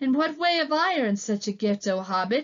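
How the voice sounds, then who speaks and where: A woman puts on a character voice at a fairly high pitch. She moves at a fairly quick pace. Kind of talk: archaic formal speech. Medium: read story. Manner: grave, formal, courtly.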